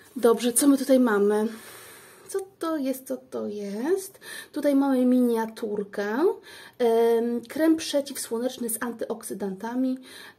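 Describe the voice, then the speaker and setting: Very slowly, a woman speaks in a high voice with a dark, mellow tone and ordinary pitch variation. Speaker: beauty vlogger. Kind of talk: product unboxing review. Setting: daughter's room at home. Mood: curious, pleased. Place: home room. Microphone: phone near.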